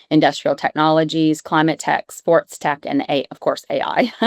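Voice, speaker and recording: With an American accent and a fairly low pitch, a woman talks at a moderate pace in a dry, close sound with no echo, on a very clean recording with a silent background. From New York. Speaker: venture capital investor. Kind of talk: panel discussion.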